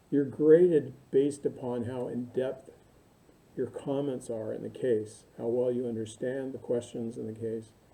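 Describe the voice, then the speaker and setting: A man talks at a medium pitch in a dark, mellow tone, his intonation fairly even. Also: moderate pace. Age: 60s. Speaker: university instructor. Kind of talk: recorded lecture to online students. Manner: casual, halting with many fillers.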